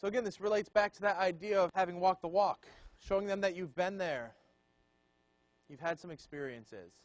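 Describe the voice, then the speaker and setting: Speaking at a fairly quick pace in a high pitch, a man leaves long, frequent pauses while his loudness swings widely. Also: ordinary pitch variation. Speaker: student leadership trainer. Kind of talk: training session lecture. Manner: casual and conversational.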